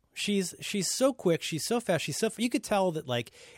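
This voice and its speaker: A man talks at a very fast pace. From Ohio. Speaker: podcast co-host. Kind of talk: casual chat. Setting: remote call.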